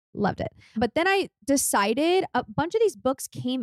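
Recorded with a dry, close sound and no echo, a woman speaks in a Californian accent. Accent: Californian American English. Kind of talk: casual chat.

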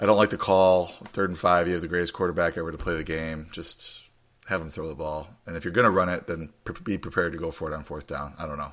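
A gravelly man's voice, low-pitched and fast, with fairly even intonation. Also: fairly bright tone.

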